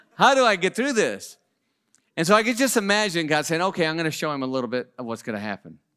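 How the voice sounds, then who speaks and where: On a very clean recording with a silent background, a man speaks at a very fast pace in a high, bright and sharp voice, animated in tone, with very wide pitch swings. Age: 40s. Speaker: guest preacher. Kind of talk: sermon. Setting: church with audience.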